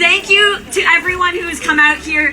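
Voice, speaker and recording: A woman uses a raised, projected voice at a fairly slow pace. Noticeable background noise is present. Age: young. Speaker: rally speaker, activist. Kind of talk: protest rally speech. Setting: outdoor rally with crowd.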